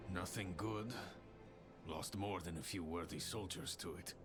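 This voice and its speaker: Over loud background noise, a man speaks at a moderate pace in a put-on character voice with very deep, low pitch. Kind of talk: video game dialogue. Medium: video game. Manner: grim, low-key, laconic.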